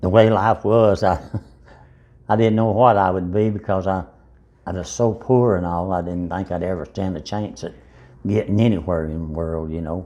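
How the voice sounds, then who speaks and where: In an Appalachian accent, the voice has a dark, mellow tone and fairly even intonation, moving at a moderate pace with long, frequent pauses. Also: man, very deep, low pitch for a man. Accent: Southern Appalachian American. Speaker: interviewee recalling his life. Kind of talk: life story interview.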